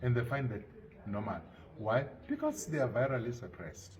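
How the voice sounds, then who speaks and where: A man with an unremarkable speaking voice, pitched fairly low. His intonation is lively. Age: 50s. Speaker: HIV activist. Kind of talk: interview answer.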